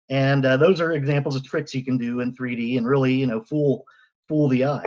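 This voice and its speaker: A man talks at a very fast pace. His pitch sits fairly high, and his intonation stays fairly even. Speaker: 3D photographer. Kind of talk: presentation.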